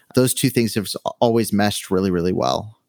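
Over a silent background in a very clean recording, a man speaks with an American accent. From Southern California. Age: 20s. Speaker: videographer and podcaster. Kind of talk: interview conversation.

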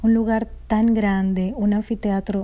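A woman speaks at a medium pitch in a dark, mellow, somewhat breathy voice with monotone, flat intonation. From Dominican Republic. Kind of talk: testimony. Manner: halting.

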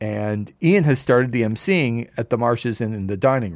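In a Canadian accent, a man with an ordinary speaking voice talks at a moderate pace and medium pitch with lively intonation, on a very clean recording with a silent background. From Canada, Toronto area. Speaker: sports radio broadcaster. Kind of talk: casual chat. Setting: studio.

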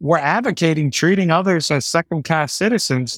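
A man with an American accent speaks in an ordinary speaking voice at a fairly high pitch and a moderate pace, recorded very cleanly with a silent background and a dry, close sound with no echo. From New York City (the Bronx). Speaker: podcast host. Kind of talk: casual conversation.

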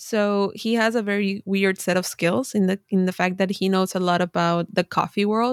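A woman with a Spanish accent speaks at a moderate pace, at a medium pitch, with fairly even intonation, very even loudness and hardly any pauses. The sound is dry and close with no echo, on a very clean recording with a silent background. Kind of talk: casual interview.

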